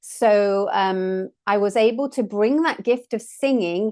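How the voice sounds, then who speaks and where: A woman speaks with an English accent at a fairly high pitch and ordinary pitch variation. The background is quiet. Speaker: sound healer and trained opera singer. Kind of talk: casual chat.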